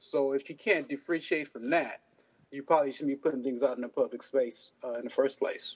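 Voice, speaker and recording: A man with a plain, everyday voice and a fairly high pitch talks at a fairly quick pace with ordinary pitch variation. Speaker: co-host. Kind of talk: casual chat.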